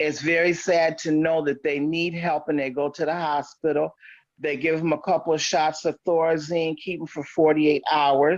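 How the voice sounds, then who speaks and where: Against a quiet background, a woman with an American accent speaks at a moderate pace in a very deep, low pitch with monotone, flat intonation. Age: 60s. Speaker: podcast guest. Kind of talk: casual chat.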